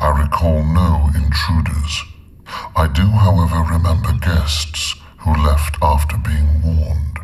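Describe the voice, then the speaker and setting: Putting on a character voice, a man speaks fairly slowly at a very deep, low pitch, with audible echo. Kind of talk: solemn, oracular. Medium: video game. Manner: measured, formal, emotionless.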